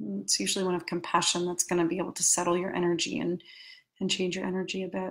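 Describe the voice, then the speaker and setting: A woman with an American accent, fairly low in pitch with vocal fry, talking at a very fast pace with fairly even intonation over a quiet background. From New York City. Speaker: life coach. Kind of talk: guided meditation; coaching talk. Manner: halting. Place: home room. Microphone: webcam.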